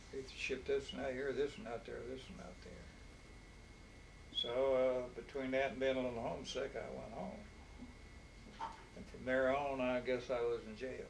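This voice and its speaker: A man with an Appalachian accent speaks at a moderate pace, with long, frequent pauses and big swings in loudness. Noticeable background noise runs underneath. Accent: Appalachian Southern US. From Harlan County, Kentucky. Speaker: war veteran. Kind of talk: interview answer.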